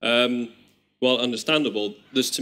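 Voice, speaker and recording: With an English accent, a man of medium pitch talks at a fairly quick pace with ordinary pitch variation. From Netherlands. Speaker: audience member. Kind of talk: question from audience.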